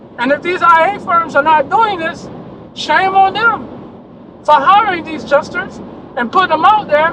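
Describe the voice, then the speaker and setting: The voice is loud and moves at a moderate pace over noticeable background noise. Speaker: insurance adjuster trainer. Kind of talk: video rant.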